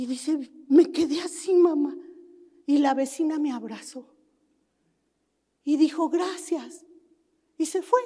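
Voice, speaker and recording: Her pitch is high, with ordinary variation. This woman speaks at a very slow pace. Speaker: pastor. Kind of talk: sermon.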